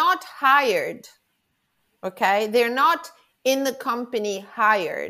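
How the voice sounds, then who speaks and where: In an Italian accent, a woman with a high, bright, sharp voice and lively intonation speaks at a very slow pace with long, frequent pauses, on a very clean recording with a silent background. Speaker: professional organizer. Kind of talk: interview.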